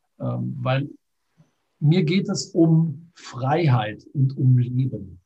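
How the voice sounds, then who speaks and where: Speaking at a very slow pace, a man with a medium-pitched, somewhat breathy voice uses lively intonation. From Düsseldorf, western Germany. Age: 40s. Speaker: online entrepreneur. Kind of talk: interview.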